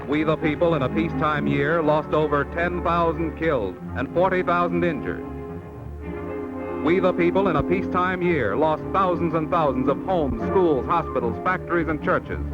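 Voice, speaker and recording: Over background music, a man with a fairly high voice keeps a moderate pace and very even loudness while his pitch swings very widely. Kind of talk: vintage educational film narration.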